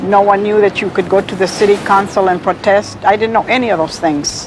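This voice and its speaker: With an American accent, a woman speaks at a moderate pace and medium pitch amid noticeable background noise. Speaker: community resident interviewee. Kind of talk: documentary interview.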